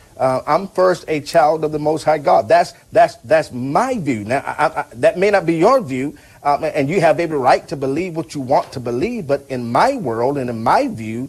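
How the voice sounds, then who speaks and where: An unremarkable speaking voice, a man with a fairly high pitch talks at a moderate pace with lively intonation. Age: 30s. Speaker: pastor and talk show host. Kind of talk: call-in show.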